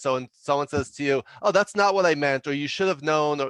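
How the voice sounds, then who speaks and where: A voice with a New York accent and ordinary pitch variation comes through in a dry, close sound with no echo and a quiet background. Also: man. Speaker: leadership consultant and author. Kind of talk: podcast interview. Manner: fast.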